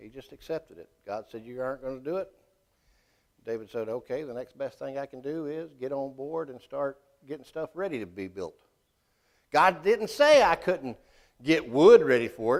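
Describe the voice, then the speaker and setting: A man's pitch swings very widely while he speaks rather quickly. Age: 50s. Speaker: Sunday school teacher. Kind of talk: Bible class teaching. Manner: casual.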